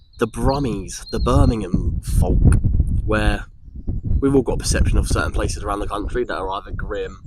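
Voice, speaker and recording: A man with an Essex accent, long and frequent pauses, and noticeable background noise. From Essex, England. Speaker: vlogger. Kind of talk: personal vlog monologue. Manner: hesitant, with frequent repetitions.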